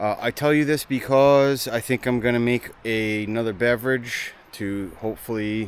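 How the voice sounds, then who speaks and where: Hardly pausing, a man talks at a moderate pace with a medium pitch and fairly even intonation. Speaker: camping vlogger. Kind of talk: casual vlog narration. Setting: outdoors.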